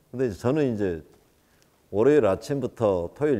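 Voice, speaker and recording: With a dark, mellow tone, a man speaks at a fairly quick pace with lively intonation. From South Korea, Gwangju / Jeolla. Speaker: singer giving a lecture. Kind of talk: lecture. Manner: casual, conversational storytelling.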